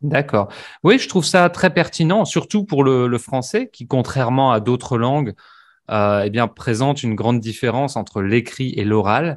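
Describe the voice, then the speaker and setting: Over a quiet background, a man with a plain, everyday voice talks at a moderate pace in a medium pitch with lively intonation. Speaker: language teacher. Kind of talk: interview questions, casual conversation.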